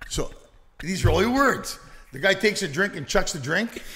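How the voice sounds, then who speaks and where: Raised and projected, a man's high-pitched voice moves at a moderate pace with an animated tone. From Canada. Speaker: stand-up comedian and actor. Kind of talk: casual chat. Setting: distillery recording with hosts.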